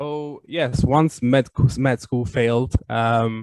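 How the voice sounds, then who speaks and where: A man with an Italian accent speaks at a medium pitch, the sound dry and close with no echo over a quiet background. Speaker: game PR company owner. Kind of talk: interview. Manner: hesitant, many fillers.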